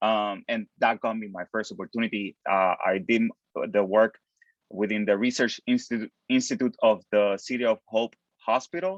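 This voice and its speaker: A man talks in a medium pitch at a moderate pace. Pitch variation is ordinary, and the sound is dry and close with no echo. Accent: Puerto Rican. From Puerto Rico. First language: Spanish. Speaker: postdoctoral chemist. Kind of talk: panel discussion. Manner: halting, many fillers and repetitions.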